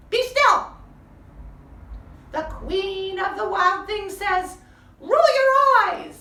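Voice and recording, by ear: A woman puts on a character voice with an extremely high pitch and a bright, sharp tone. She goes at a very slow pace with lively intonation.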